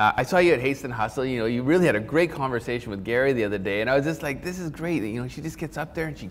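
A man speaks in an animated tone at a very fast pace, with ordinary pitch variation. His loudness swings widely, and light background noise can be heard. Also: hardly any pauses. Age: 40s. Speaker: talk show host. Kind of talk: interview. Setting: studio. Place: studio. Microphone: lapel.

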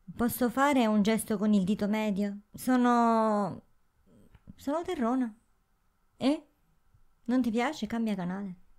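A woman's fairly high voice at a fairly slow pace, with long, frequent pauses, ordinary pitch variation and a quiet background. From southern Italy. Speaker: YouTuber. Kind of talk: casual chat. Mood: ironic, defiant. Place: home room. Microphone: handheld.

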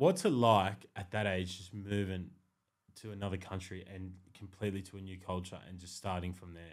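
A man talks at a very deep, low pitch with fairly even intonation. His loudness swings widely against a quiet background. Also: moderate pace. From Australia. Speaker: podcast host. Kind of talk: casual interview chat. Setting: podcast studio. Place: studio. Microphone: studio mic.

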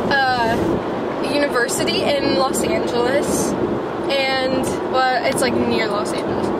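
Loud background noise sits behind a woman's voice, which sounds dry with no echo. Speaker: passenger vlogger. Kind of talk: casual vlog chat. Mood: relaxed, chatty. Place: car. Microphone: phone near.

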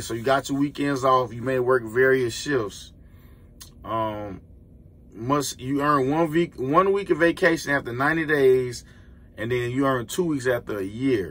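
A man with an American accent talks at a fairly slow pace with ordinary pitch variation. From Florida. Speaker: truck driver and YouTuber; YouTuber. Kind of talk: casual vlog. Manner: animated. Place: car. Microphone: phone near.

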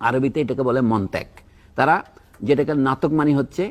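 Against a quiet background, a man speaks at a medium pitch. His is a plain, everyday voice. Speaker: academic commentator on education. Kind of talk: talk show discussion. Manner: formal.

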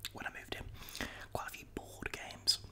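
A soft-spoken man whispers at a moderate pace. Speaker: vlogger. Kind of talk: casual vlog chat. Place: kitchen. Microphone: studio mic.

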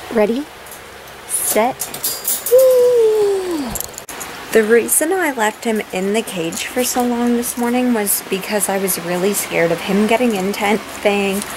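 Speaking at a fairly slow pace, a woman uses lively intonation over noticeable background noise. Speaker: vlogger. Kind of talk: casual vlog chat. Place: home room. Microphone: phone near.

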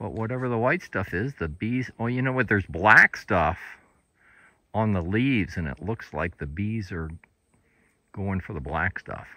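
A man with an American accent speaks at a moderate pace in a fairly low, bright, sharp voice with lively intonation and long, frequent pauses. The background is quiet and the sound is dry with no echo. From West Virginia. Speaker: RV travel vlogger. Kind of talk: casual narrated walking tour. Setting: outdoors. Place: open country. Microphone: phone near.

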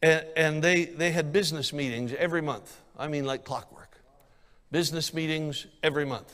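Pitched fairly high, a man talks in an animated tone. His pace is moderate. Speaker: evangelist preacher. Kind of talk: sermon. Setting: church. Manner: animated, emphatic pulpit delivery with repetition. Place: church. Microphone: handheld.

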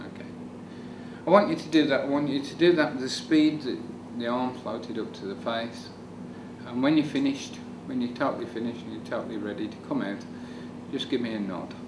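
A man talks at a fairly quick pace with lively intonation and big swings in loudness. He takes long, frequent pauses over noticeable background noise. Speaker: hypnotist. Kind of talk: hypnosis induction. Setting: demonstration on camera with a volunteer. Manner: rapid, repetitive, commanding; soothing, suggestive. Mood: calm, soothing, repetitive. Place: meeting room.

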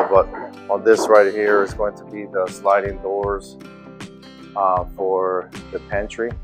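Faint music sits in the background as a man speaks at a fairly slow pace. His voice is fairly low and his intonation flat and monotone. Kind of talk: casual vlog chat. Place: home room. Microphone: phone near.

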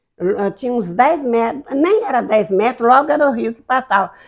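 Over a quiet background, a woman with a high pitch talks at a moderate pace in an animated tone, her pitch swinging very widely. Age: 80s+. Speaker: elderly interviewee recounting childhood; interviewee. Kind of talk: life-story interview, reminiscing. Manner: animated storytelling. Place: home room. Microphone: lapel.

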